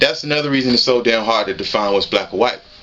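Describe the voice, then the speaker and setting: A man speaks while noticeable background noise plays. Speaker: YouTuber. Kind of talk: casual commentary vlog. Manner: fast; animated.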